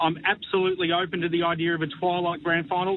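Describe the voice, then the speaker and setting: There's a man speaking with an Australian accent. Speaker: football pundit. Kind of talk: radio panel discussion.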